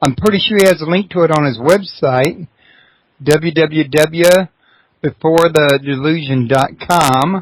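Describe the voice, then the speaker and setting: Speaking with a Texas accent, a man has a fairly high pitch and ordinary pitch variation. He goes at a fairly slow pace. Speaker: radio host. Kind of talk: interview. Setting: internet radio show.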